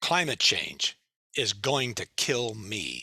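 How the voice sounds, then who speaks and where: A medium-pitched man with a bright, sharp tone and vocal fry, at a very slow pace. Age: 70s. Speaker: retired TV journalist, climate speaker. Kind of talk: talk with Q&A. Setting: Zoom meeting.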